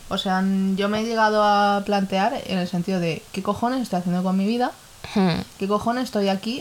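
Speaking at a moderate pace, a woman keeps her pitch variation ordinary. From Ecuador. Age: 20s. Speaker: podcast co-host. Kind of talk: casual chat.

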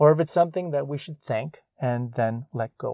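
A man's calm, gentle tone, dark and mellow and somewhat breathy, at a medium pitch with ordinary pitch variation, in a very clean recording with a silent background and a dry, close sound with no echo. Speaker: podcast host. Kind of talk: reflective solo podcast monologue, with a slow, contemplative poem reading. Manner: calm, reflective, unhurried, gentle; poem read slowly with pauses, soft and thoughtful.

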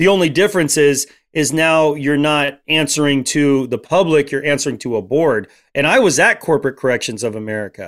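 A plain, everyday voice from a man, fairly high in pitch and fairly quick in pace, on a very clean recording with a silent background. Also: ordinary pitch variation. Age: 40s. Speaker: Apache drummer and guest speaker. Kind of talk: casual interview.

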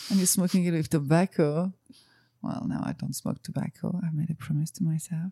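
A woman with a French accent speaks at a fairly low pitch, somewhat breathy and dark and mellow in tone, in a dry, close sound with no echo. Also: ordinary pitch variation, fairly quick pace. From France. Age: 40s. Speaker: cannabis enthusiast guest. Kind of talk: casual interview conversation.

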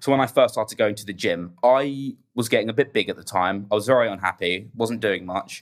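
Medium male pitch with ordinary pitch variation, a man at a fairly quick pace, music in the background. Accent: English. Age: 20s. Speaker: podcast guest sharing grief story. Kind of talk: casual chat, personal testimony.

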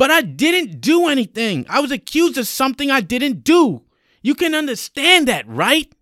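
A man puts on a character voice at an extremely high pitch, his tone bright and sharp and his pitch swinging very widely, captured in a very clean recording with a silent background. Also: moderate pace.

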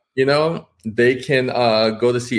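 A man speaks at a moderate pace in a normal speaking voice with an American accent. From New York City, Washington Heights. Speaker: author and illustrator. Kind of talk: interview.

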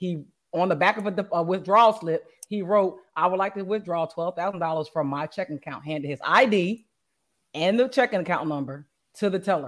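At a medium pitch and a fairly quick pace, a woman speaks with ordinary pitch variation. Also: very clean recording, silent background. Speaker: podcast host. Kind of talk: casual chat.

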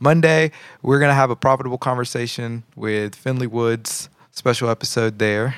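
The recording is very clean with a silent background and a dry, close sound with no echo. A man talks at a moderate pace in an unremarkable speaking voice, medium in pitch, with fairly even intonation. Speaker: podcast host. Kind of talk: casual religious talk show, reacting to videos. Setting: live-streamed recording.

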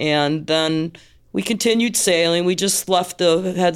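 On a very clean recording with a silent background, a woman with an American accent speaks fairly slowly in an unremarkable speaking voice, her fairly low pitch showing ordinary variation. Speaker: sailor. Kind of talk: storytelling.

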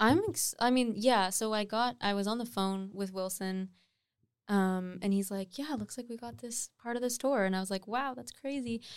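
Speaking in a Canadian accent, a woman uses an unremarkable speaking voice at a fairly high pitch, with ordinary pitch variation and a moderate pace, on a very clean recording with a silent background. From Nova Scotia, Canada. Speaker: singer-songwriter. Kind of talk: casual chat.

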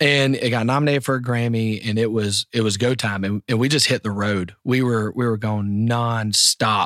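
Speaking in a Southern US accent at medium pitch, a man holds a moderate pace and fairly even intonation. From US South, the Carolinas. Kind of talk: casual interview.

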